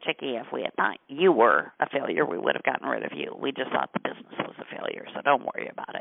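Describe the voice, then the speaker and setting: In a gravelly, put-on character voice, a man rattles along at a very fast pace with hardly any pauses. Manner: blunt, reassuring.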